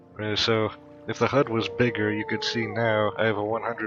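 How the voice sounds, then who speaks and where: Medium pitch from a man at a moderate pace, with noticeable background noise. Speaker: gaming youtuber. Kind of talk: let's play commentary. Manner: halting, many fillers.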